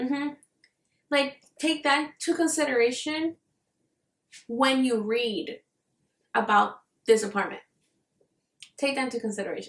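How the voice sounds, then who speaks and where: With lively intonation and a high pitch, a woman talks at a moderate pace, broken by long, frequent pauses. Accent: non-native. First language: not English. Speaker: book reviewer. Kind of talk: casual vlog chat. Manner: casual, filler-heavy.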